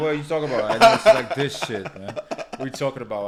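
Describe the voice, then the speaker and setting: A man is speaking. He has a Polish accent. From Poland. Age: 30s. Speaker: podcast host. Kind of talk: casual chat.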